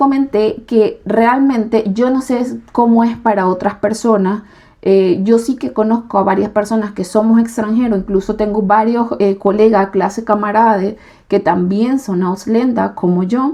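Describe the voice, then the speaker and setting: A woman with a Venezuelan accent speaks at a fairly slow pace. Her fairly high voice has a dark, mellow tone and fairly even intonation. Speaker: YouTuber and nursing trainee. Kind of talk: casual vlog explanation. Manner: hesitant fillers.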